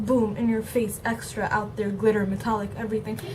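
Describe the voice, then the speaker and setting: A woman talks in a fairly high pitch. Noticeable background noise and audible room echo surround her voice. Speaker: beauty vlogger. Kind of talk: makeup tutorial.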